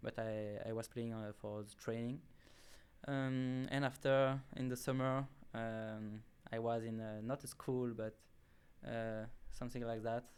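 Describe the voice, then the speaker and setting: A man with a French accent, medium in pitch, flat and monotone, at a fairly slow pace with long, frequent pauses. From southern France, near Marseille. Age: 20s. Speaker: college soccer player. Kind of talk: interview. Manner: halting, many filler sounds.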